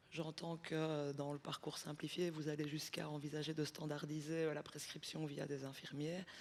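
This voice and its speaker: Spoken in a flat monotone at a very even volume, with hardly any pauses. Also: woman, very deep, low pitch for a woman, moderate pace. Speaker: audience member. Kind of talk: audience question.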